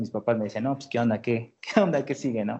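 A man with a plain, everyday voice speaks fairly quickly at a medium pitch with ordinary pitch variation. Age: 20s. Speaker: engineering graduate student and music producer. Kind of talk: interview.

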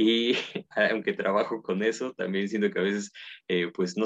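The recording is a dry, close sound with no echo. In it, a man with a normal speaking voice and fairly low pitch talks at a moderate pace. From Mexico, Puebla. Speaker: philosophy researcher and professor. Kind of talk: casual interview.

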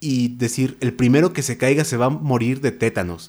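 With an unremarkable speaking voice, a man talks at a moderate pace, medium pitch and ordinary pitch variation. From Mexico, Naucalpan (State of Mexico). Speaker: writer. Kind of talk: interview. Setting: studio.

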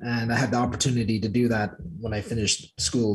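With an American accent, a man speaks fairly quickly in a somewhat breathy voice of medium pitch. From Clonmel, Ireland, then Ohio US. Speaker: guest, Irish emigrant. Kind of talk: casual interview.

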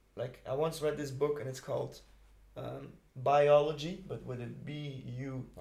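A man with a Dutch accent speaks at a fairly slow pace, with big swings in loudness. Audible room echo surrounds his voice. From Belgium, Ghent. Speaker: music producer. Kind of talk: casual interview. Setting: studio.

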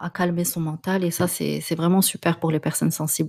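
In a very clean recording with a silent background, the talking goes at a moderate pace. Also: woman. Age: 30s. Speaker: podcast host and life coach. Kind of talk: personal monologue podcast. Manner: hesitant, frequent fillers and repetitions.

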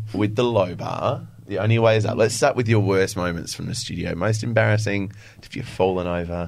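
In an Australian accent, a man with a fairly low voice talks at a fairly quick pace and fairly even intonation, amid audible room echo. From Adelaide, Australia. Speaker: podcast host and fitness instructor. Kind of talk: casual chat.

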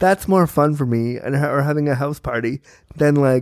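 Here is a plain, everyday voice at a fairly quick pace with fairly even intonation. The sound is dry and close, with no echo. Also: man. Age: 30s. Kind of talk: casual chat.

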